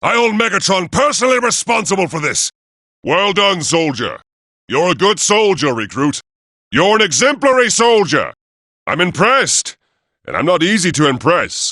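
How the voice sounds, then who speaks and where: With long, frequent pauses, a man does a put-on character voice at a high pitch against a quiet background. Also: moderate pace. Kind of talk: video game combat barks. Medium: video game. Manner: commanding, authoritative.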